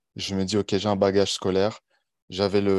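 A man's fairly low-pitched voice, dry and close with no echo, against a quiet background. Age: 20s. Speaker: online coach. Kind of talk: interview podcast.

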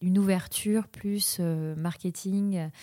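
Her dark, mellow tone at medium pitch, a woman speaks with fairly even intonation in a very clean recording over a silent background. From Mayotte (French overseas islands). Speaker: tech community manager. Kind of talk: interview. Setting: coworking space. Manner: halting.

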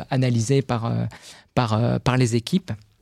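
The dark, mellow tone of a man comes through a dry, close sound with no echo in a very clean recording with a silent background. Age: 40s. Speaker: corporate lawyer and contract manager. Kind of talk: podcast interview. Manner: hesitant, frequent word repetitions.

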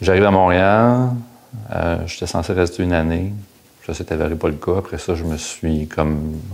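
Someone with a Quebec accent talks at a moderate pace with ordinary pitch variation and long, frequent pauses, with audible room echo. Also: man, very deep, low pitch for a man. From Quebec, Outaouais (Hull). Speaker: former business professional. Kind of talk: interview. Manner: halting.

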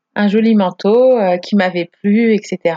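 At a very slow pace, a woman speaks at a medium pitch in a dark, mellow tone. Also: dry, close sound with no echo. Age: 30s. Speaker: podcast guest sharing her marriage story. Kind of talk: personal testimony in casual interview. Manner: animated.

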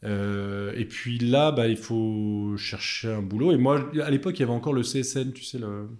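At a fairly slow pace, a man talks in a normal speaking voice with medium pitch and ordinary pitch variation. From Chablais, Haute-Savoie, France. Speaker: engineer and hydropower company founder. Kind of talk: podcast interview.

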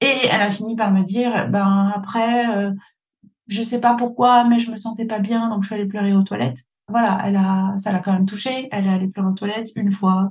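A woman's somewhat breathy voice, fairly even intonation, fairly quick pace. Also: medium pitch for a woman. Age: 40s. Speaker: podcast host, business coach. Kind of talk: solo podcast monologue.

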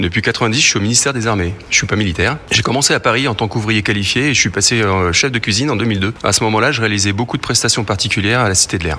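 A man's fairly low pitch at a very fast pace, with hardly any pauses, very even loudness and noticeable background noise. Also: ordinary pitch variation. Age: 50s. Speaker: military chef. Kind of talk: radio interview.

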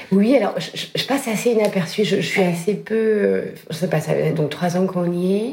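There is noticeable background noise and audible room echo as a woman speaks at medium pitch, with ordinary pitch variation and a moderate pace. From northern France. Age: 40s. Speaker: fashion brand founder. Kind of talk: casual chat.

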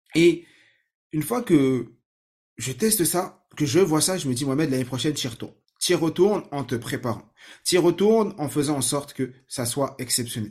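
With lively intonation, this man's fairly high-pitched voice sounds somewhat breathy. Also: moderate pace, very clean recording, silent background. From France, Saint-Ouen (Seine-Saint-Denis, Paris suburbs). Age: 30s. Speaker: learning techniques trainer, podcast host. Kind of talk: personal story monologue.

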